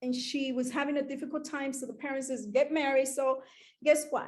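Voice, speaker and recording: Her voice high, a woman speaks with an American accent. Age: 60s. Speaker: entrepreneur speaker. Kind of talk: motivational talk.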